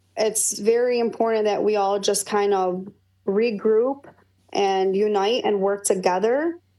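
With a Michigan accent, a woman speaks in a dark, mellow tone and fairly even intonation. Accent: Michigan American. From Dearborn, Michigan. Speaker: political party official. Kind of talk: interview. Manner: halting, many fillers.

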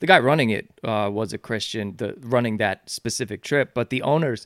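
Dry and close with no echo, this very clean recording with a silent background features a man with an American accent speaking at a moderate pace in an unremarkable speaking voice. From New York (Yonkers). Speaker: author and charity founder. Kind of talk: podcast interview.

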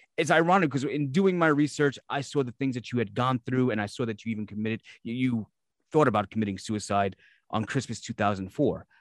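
Recorded very cleanly against a silent background with a dry, close sound and no echo, a man with a New York accent talks fairly quickly at a medium pitch with lively intonation. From Brooklyn, New York. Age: 40s. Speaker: podcast host. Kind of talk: casual interview.

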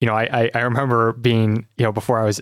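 On a very clean recording with a silent background and a dry, close sound with no echo, a man with an Upper Midwest accent speaks at a medium pitch. His delivery is monotone and flat, at a fairly quick pace. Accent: Upper Midwest American. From Michigan, South Lyon. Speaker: doctoral student in philosophy. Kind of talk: interview conversation.

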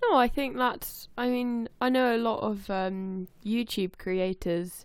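A woman with a fairly high pitch speaks at a very slow pace. The background is quiet. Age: 20s. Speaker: podcast co-host. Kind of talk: casual chat. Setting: remote call recording.

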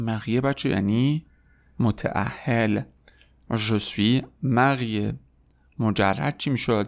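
Very slow speech with ordinary pitch variation on a very clean recording with a silent background. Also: man. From Iran. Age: 30s. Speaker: French teacher. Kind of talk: tutorial.

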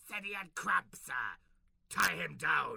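In a put-on character voice, a man talks raspily at a fairly slow pace. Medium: comedy sketch. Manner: grandiose, commanding, theatrical.

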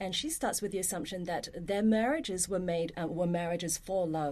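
Her dark, mellow tone at a medium pitch carries a lively intonation as this woman speaks at a fairly quick pace. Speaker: university professor. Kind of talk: casual chat.

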